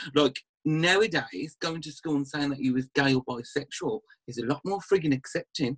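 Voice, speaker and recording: Somewhat breathy, a man speaks at a moderate pace with a fairly high pitch. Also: ordinary pitch variation, dry, close sound with no echo. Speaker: aesthetics practitioner and TV personality. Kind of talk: casual chat. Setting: video call, drinking wine during lockdown. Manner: relaxed, swears casually.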